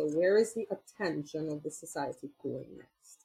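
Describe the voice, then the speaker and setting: A woman talks at a moderate pace with an American accent. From Trinidad and Tobago. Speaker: chocolate maker and activist. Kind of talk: interview. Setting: video call.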